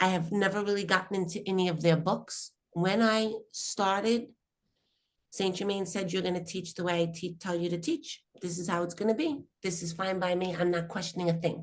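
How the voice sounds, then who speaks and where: A woman with an unremarkable speaking voice talks at a moderate pace and medium pitch, her intonation fairly even, against a quiet background. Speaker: spiritual teacher. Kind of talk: spiritual workshop talk.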